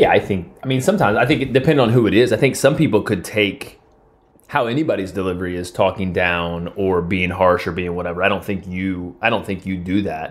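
Fairly quick in pace, a man with a fairly low pitch, ordinary pitch variation and an unremarkable speaking voice talks. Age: 40s. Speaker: host's romantic partner. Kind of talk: casual chat.

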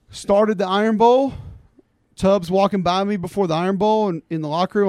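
A man speaks at a fairly quick pace, the sound dry and close with no echo. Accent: Alabama. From Alabama (Homewood, Birmingham area). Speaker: college football analyst and former player. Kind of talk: casual chat.

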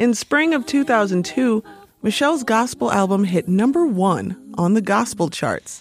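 A woman with an unremarkable speaking voice talks at a fairly slow pace and medium pitch. Her intonation is lively while her loudness stays very even. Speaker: podcast host and narrator. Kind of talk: scripted narration.

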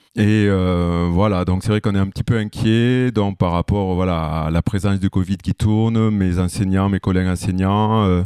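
A man's fairly low voice, dark and mellow in tone, at a moderate pace in a flat monotone, with a dry, close sound free of echo on a very clean recording against a silent background. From southwest France, Lot-et-Garonne. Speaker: music teacher. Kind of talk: casual interview.

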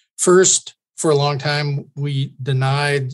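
At a very slow pace, a man with medium pitch speaks in a somewhat breathy voice. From Kentucky, US. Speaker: underwater archaeologist and author. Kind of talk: interview. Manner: halting, many fillers.

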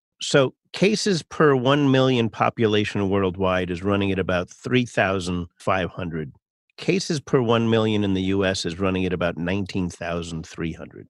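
A man with a normal speaking voice, fairly low in pitch, at a fairly slow pace with hardly any pauses and ordinary pitch variation. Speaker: podcast host. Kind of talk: interview.

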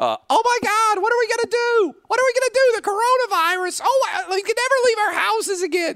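A man speaks in a put-on character voice, pitched extremely high. He talks at a fairly quick pace with hardly any pauses. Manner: panicky, whiny.

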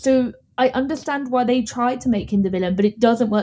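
A woman with a London accent, somewhat breathy and dark, mellow in tone, with fairly even intonation at a very fast pace. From London, England. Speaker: podcast guest and movie reviewer. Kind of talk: casual chat. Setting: Ireland.

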